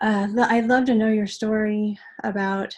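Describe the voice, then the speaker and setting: There is a somewhat breathy quality to this woman's voice. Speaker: advocacy volunteer. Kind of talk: webinar presentation. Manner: fast.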